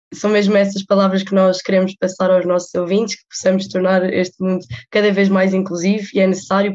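Her pitch sits in the medium range, and her pace is moderate. The woman's delivery stays monotone and flat throughout. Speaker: student podcast host. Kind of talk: interview.

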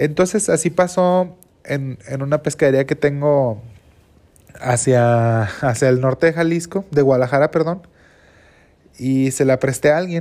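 A man with a Mexican accent and a dark, mellow tone, fairly high in pitch, at a fairly slow pace with ordinary pitch variation and long, frequent pauses. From Mexico. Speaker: entrepreneur, seafood trader. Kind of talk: personal storytelling monologue.

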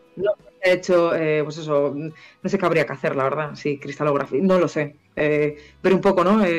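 A woman's very deep, low voice keeps a moderate pace and fairly even intonation, with noticeable background noise behind it. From Spain, Galicia (Vigo). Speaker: allergist doctor. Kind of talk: interview on a live stream.

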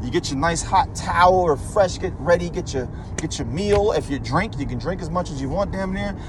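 A man speaks in an intense tone at a fairly quick pace. Noticeable background noise sits behind him. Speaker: motivational ranter. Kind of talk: angry rant, profane and preachy, scolding the listener about money and mindset. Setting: solo voice memo recording into a mic. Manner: animated, lecturing and blunt.

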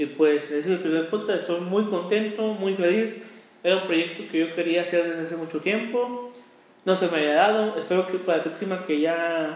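A man with a Mexican accent at a high pitch, moderate pace and fairly even intonation, amid audible room echo and noticeable background noise. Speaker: podcast host. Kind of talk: casual chat. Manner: halting.

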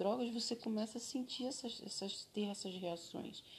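A somewhat breathy woman's voice, fairly high in pitch, at a fairly slow pace. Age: 30s. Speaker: former drug addict sharing her story. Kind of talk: interview testimony.

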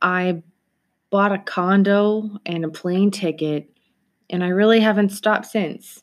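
A woman speaks at a fairly slow pace in a medium pitch with fairly even intonation. She has a plain, everyday voice, and the recording is very clean with a silent background. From Toronto, Canada. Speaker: podcast host. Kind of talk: solo podcast monologue.

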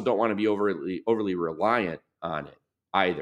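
A man's normal speaking voice with an American accent, fairly low in pitch and fairly quick, over a quiet background. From US Midwest, Michigan. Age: 50s. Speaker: business author and advisor. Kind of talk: podcast interview.

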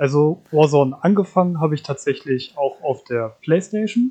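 A man with a dark, mellow tone and a fairly high pitch talks at a moderate pace. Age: 20s. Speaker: podcast co-host, gamer. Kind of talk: casual chat.

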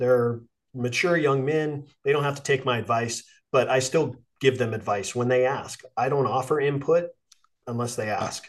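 Spoken at a moderate pace with ordinary pitch variation, this is a normal speaking voice. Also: man. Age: 50s. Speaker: podcast host, coach and Marine veteran. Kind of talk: casual interview chat. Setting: video call.

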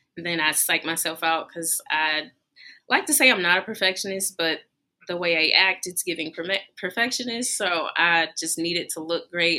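A woman's shaky voice at a fairly low pitch, with a bright, sharp tone, ordinary pitch variation and a moderate pace. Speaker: baker, small business owner. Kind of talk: live podcast interview. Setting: lounge with live audience. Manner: slightly shaky.

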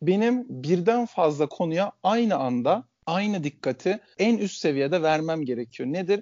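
Lively intonation from a man with a high pitch, at a moderate pace. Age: 30s. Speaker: country manager. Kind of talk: casual interview.

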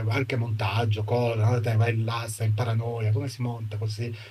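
Audible room echo around a man speaking fairly slowly, his pitch in the medium range. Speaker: film colorist. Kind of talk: interview. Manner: halting.

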